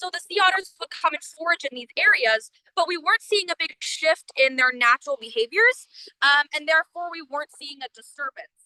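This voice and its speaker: Extremely high-pitched, raised and projected female voice, bright and sharp in tone, with lively intonation, big swings in loudness, a fairly quick pace and a dry, close sound with no echo. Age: 20s. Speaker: student volunteer researcher. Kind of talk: live-stream field presentation. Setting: outdoors on the coast.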